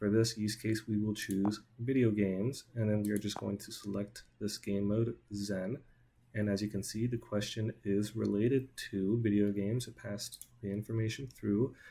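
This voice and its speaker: Dark and mellow in tone, a man speaks in a monotone, somewhat breathy voice. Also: fairly low pitch for a man, moderate pace. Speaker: student. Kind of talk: software demo.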